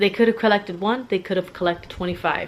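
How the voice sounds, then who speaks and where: A woman's animated voice at a medium pitch. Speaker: homeschooling mom vlogger. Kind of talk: casual vlog talk. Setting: at home, on the bed. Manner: fast.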